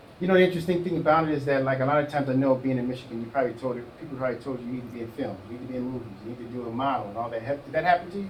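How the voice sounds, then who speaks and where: A man with an American accent speaks at a very fast pace with hardly any pauses, at a medium pitch with ordinary pitch variation. His loudness swings widely, and there is audible room echo. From Chicago. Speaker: talk show host. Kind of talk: interview.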